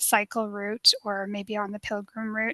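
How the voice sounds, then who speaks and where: Bright and sharp in tone, a voice with a Canadian accent comes at a fairly slow pace with flat, monotone intonation, in a dry, close sound with no echo over a quiet background. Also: woman. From Canada. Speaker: travel expert. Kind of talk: webinar Q&A.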